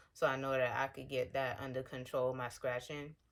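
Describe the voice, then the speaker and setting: A woman's very deep, low-pitched voice. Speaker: skincare vlogger sharing eczema journey. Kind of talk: casual vlog talk to camera. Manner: fast.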